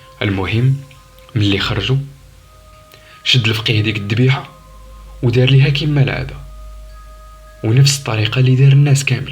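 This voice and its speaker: A man's medium-pitched voice in a Moroccan accent, moderate in pace with long, frequent pauses, fairly even intonation and music in the background. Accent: Moroccan Darija. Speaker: storyteller. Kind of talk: horror story narration.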